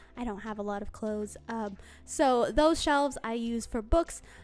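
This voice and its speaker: A woman's fairly high voice with ordinary pitch variation, music in the background. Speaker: book vlogger. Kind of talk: casual vlog monologue.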